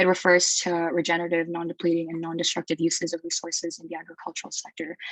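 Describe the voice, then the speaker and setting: The intonation is monotone and flat, with big swings in loudness. Noticeable background noise runs underneath. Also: woman, fairly low pitch for a woman. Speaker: university student panelist. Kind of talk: panel discussion. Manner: hesitant, many fillers.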